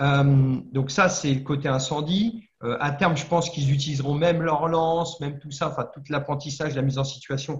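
A man's somewhat breathy voice shows ordinary pitch movement. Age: 50s. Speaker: former firefighter, fire safety trainer and entrepreneur. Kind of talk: interview. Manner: halting, many fillers.

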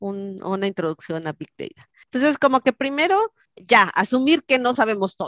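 At a high pitch with very wide pitch swings and big swings in loudness, a woman speaks at a moderate pace, the sound dry and close with no echo. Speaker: software engineer. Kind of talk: interview.

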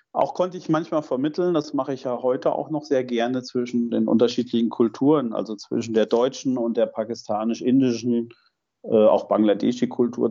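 With a dark, mellow tone, a man talks at a moderate pace at medium pitch, showing ordinary pitch variation. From Germany, Fulda (eastern Hesse). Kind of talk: interview.

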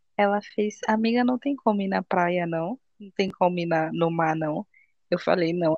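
A woman with an ordinary speaking voice talks at a fairly slow pace and a fairly low pitch, with ordinary pitch variation and a dry, close sound with no echo. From Bahia, Brazil (Salvador). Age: 20s. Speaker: podcast host. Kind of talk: casual chat.

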